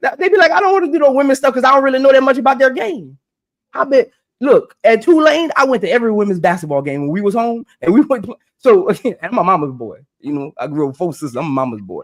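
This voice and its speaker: A man with extremely high pitch, very wide pitch swings and a very fast pace. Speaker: podcast host. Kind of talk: live stream panel discussion. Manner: loud, yelling; animated.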